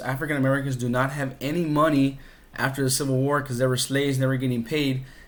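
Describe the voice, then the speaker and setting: With audible room echo, a man speaks at medium pitch and a fairly quick pace in a flat monotone. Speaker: history teacher. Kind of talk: recorded lesson. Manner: fast.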